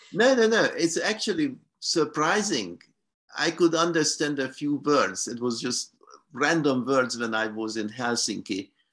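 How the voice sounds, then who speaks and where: With a slight Hungarian accent, a man speaks at a fairly slow pace in a fairly high voice with very wide pitch swings against a quiet background. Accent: slight Hungarian-tinged English. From Hungary. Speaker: professor. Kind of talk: academic talk, Q&A exchange.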